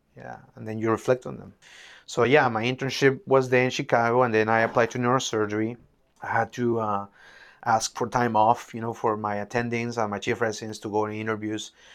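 In a very clean recording with a silent background, a man with a Peruvian accent talks fairly quickly at a medium pitch, flat and monotone yet with big swings in loudness. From Peru, Lima. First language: Spanish. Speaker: neurosurgeon. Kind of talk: interview. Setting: in-person in an office.

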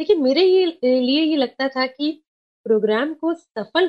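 The intonation rises and falls in a lively way. The speaker has a Sindhi accent. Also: woman. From Kolkata, West Bengal. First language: Sindhi (speaking Hindi). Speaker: community radio station head. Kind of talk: casual interview.

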